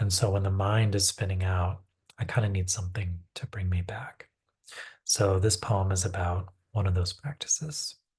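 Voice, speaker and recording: Somewhat breathy and calm in tone, a man with a very deep, low pitch speaks with fairly even intonation against a quiet background. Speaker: poet. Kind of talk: poetry reading with commentary. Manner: calm, unhurried.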